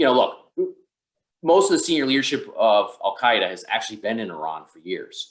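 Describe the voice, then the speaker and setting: A man speaks with a New York accent. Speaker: counterterrorism expert. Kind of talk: webinar Q&A. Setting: online webinar. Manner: fast.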